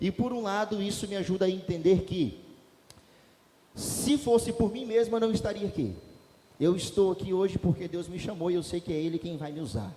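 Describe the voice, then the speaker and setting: Speaking loudly in a high pitch for a man, he uses ordinary pitch variation and leaves long, frequent pauses. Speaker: pastor. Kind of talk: sermon. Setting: church. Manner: fast.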